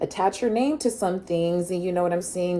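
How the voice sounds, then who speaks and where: Noticeable background noise is heard as a woman speaks at a medium pitch. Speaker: tarot reader. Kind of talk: tarot reading. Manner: fast.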